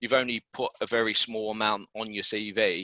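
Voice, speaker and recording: With a British accent and a bright, sharp tone, the voice comes through with a dry, close sound with no echo over a quiet background. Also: man. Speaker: recruitment consultant. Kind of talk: webinar presentation. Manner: fast.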